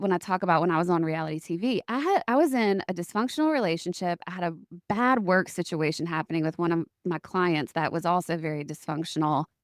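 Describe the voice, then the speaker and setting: In a very clean recording with a silent background and a dry, close sound with no echo, a woman talks in a normal speaking voice at a fairly low pitch and a moderate pace, with lively intonation. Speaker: podcast host. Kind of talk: casual podcast conversation.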